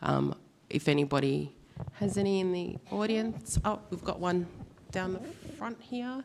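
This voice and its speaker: Speaking fairly slowly at a medium pitch, a woman with an Australian accent lets her pitch swing very widely. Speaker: panel facilitator. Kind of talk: conference panel moderation. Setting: stage with audience. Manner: halting.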